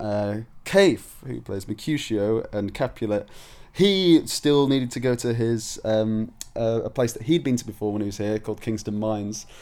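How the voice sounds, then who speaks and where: Speaking with a Yorkshire accent, a man uses a medium-pitched voice with a dark, mellow tone and ordinary pitch variation at a moderate pace. The recording is very clean, with a silent background. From northern England, Leeds, Yorkshire. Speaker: stage actor. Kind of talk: casual video blog. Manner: hesitant, many fillers.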